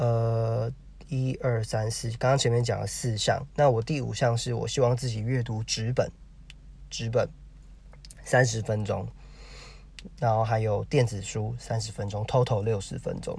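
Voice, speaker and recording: A man talks at medium pitch in a somewhat breathy, monotone, flat voice. His pace is fairly slow, with long, frequent pauses. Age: 30s. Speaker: podcaster. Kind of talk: solo monologue. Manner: halting, many fillers.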